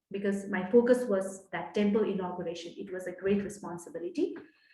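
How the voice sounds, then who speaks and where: A woman with a Nepali accent, ordinary pitch variation, and audible room echo. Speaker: guest speaker. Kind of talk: personal testimony talk. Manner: hesitant, many fillers.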